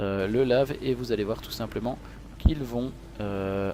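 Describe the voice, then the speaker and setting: A man's fairly low voice at a fairly slow pace, with ordinary pitch variation, over noticeable background noise. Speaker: esports commentator. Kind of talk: live commentary. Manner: animated.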